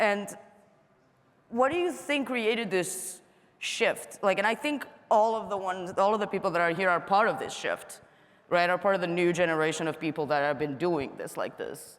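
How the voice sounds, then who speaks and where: At a moderate pace, a woman with a non-native accent speaks at a medium pitch with lively intonation. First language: not English. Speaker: panel moderator. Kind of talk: panel discussion. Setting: stage with audience. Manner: casual, filler-heavy.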